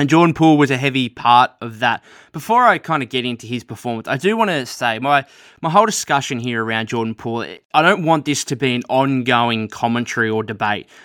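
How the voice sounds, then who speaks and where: Speaking very fast with an Australian accent, a man keeps a medium pitch and ordinary pitch variation. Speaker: podcast host. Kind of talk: solo podcast monologue about basketball news. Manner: casual, conversational, with frequent filler words.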